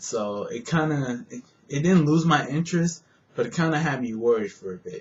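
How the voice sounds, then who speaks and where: The man's pitch is fairly high, and he talks at a moderate pace. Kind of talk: casual movie review to camera. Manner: rambling, hesitant.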